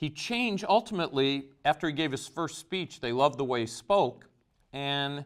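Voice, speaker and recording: This man has an ordinary speaking voice, a fairly high pitch and lively intonation at a moderate pace. The recording is very clean, with a silent background. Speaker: teacher. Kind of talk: lecture.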